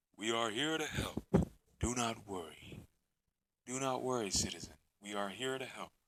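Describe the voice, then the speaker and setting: Putting on a robotic character voice, a man of medium pitch speaks at a moderate pace with long, frequent pauses. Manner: reassuring, helpful.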